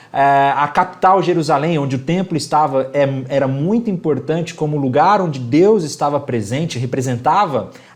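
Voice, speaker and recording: In a room with audible echo, a man speaks in an animated tone at a fairly high pitch. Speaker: bible teacher. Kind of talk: lecture. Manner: fast.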